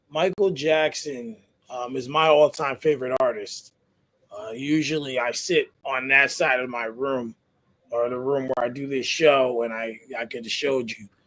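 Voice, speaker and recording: This man has a normal speaking voice at a medium pitch, talking at a moderate pace with fairly even intonation and big swings in loudness. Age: 30s. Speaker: podcast host. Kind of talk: casual interview.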